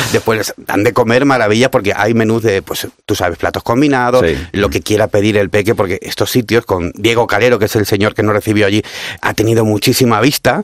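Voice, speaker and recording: Dry and close with no echo, the voice moves at a fairly quick pace with very even loudness, ordinary pitch variation and hardly any pauses. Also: man, fairly low pitch for a man. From Cádiz, Andalusia. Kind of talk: casual radio interview. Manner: animated.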